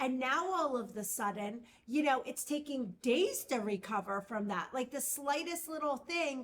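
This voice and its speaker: A woman's high voice with lively intonation at a fairly slow pace. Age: 40s. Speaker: podcast co-host. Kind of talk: casual chat.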